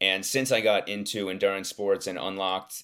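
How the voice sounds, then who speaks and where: An ordinary speaking voice from a man with an American accent, a fairly low pitch, and a fairly quick pace. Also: very clean recording, silent background. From US Northeast, Philadelphia suburbs. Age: 20s. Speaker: nutrition and endurance coach. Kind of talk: casual interview chat. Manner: many filler words.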